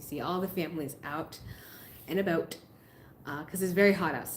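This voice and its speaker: A woman with an American accent speaks with fairly even intonation. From US Northeast, Massachusetts. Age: 30s. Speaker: YouTuber, expat vlogger. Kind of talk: live stream chat. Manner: casual, conversational.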